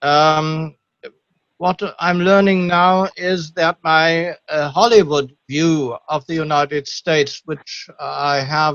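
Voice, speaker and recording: Here a man speaks with a German accent. His pitch sits fairly high. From Germany. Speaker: audience member asking a question. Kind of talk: Q&A question on video call. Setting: video call. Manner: halting.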